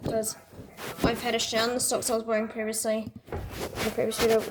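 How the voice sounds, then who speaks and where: Noticeable background noise sits under a quiet voice. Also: woman. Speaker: laundry video maker. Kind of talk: casual vlog narration. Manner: quiet, keeping voice down; halting, repeats words.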